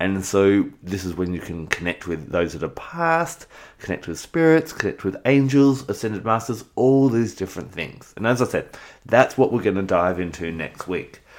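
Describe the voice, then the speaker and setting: In an Australian accent, a man with a fairly low pitch talks at a moderate pace, his voice making very wide pitch swings. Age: 40s. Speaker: spiritual podcast host. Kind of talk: spiritual teaching monologue. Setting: home recording.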